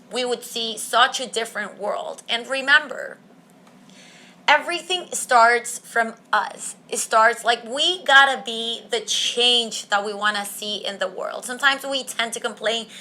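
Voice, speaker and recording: The voice is bright and sharp in tone, with a non-native accent, a fairly slow pace and ordinary pitch variation. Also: woman, high pitch for a woman. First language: not English. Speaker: podcast host. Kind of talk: solo podcast monologue. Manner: casual, conversational.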